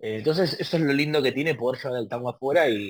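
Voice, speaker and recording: A man talks at a fairly quick pace with a medium pitch. The recording is very clean, with a silent background. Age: 20s. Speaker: tango artist. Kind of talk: interview conversation. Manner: halting.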